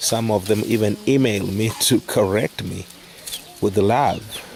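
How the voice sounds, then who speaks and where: A man with a non-native accent talks at a very slow pace in a fairly low pitch. Noticeable background noise is present. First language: not English. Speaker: charity worker. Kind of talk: casual talk to camera.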